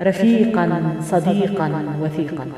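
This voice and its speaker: Over music in the background, a woman talks very slowly at a medium pitch. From Algeria. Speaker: poet. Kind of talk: poetry reading.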